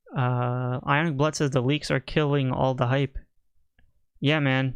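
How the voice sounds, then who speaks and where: A man speaks at a fairly slow pace with a medium pitch. His delivery is monotone and flat, with very even loudness. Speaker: toy collecting youtuber host. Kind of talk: livestream chat reading comments. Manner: casual with many fillers.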